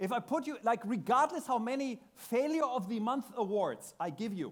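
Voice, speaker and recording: A man with a German accent speaks at an extremely high pitch with lively intonation. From Germany. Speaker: tech speaker. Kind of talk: conference talk. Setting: stage with audience.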